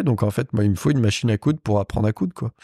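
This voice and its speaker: On a very clean recording with a silent background, a man speaks with a dark, mellow tone. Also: dry, close sound with no echo. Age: 30s. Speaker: motorcycle and car upholsterer. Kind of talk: casual chat. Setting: his workshop.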